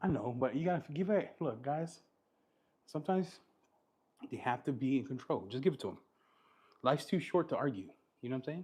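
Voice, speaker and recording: Somewhat breathy and fairly high, a man's voice moves at a fairly quick pace with lively intonation. He leaves long, frequent pauses. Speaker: car detailing content creator. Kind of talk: casual chat. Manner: animated.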